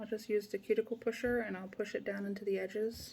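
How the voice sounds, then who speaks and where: A woman speaks with fairly high pitch and a somewhat breathy sound. Her tone is dark and mellow. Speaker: nail product seller. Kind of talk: tutorial.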